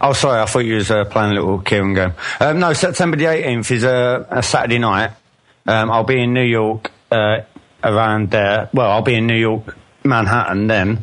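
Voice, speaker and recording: Through noticeable background noise, a man in a Cockney accent speaks at a moderate pace. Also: medium pitch for a man, ordinary pitch variation, very even loudness. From England. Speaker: caller. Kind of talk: casual chat.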